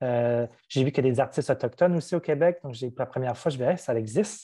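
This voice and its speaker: Talking very fast against a quiet background, this speaker has a dark, mellow tone and ordinary pitch variation. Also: man. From New Brunswick, Canada (First Nation, Madawaska). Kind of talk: interview. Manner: hesitant, many fillers.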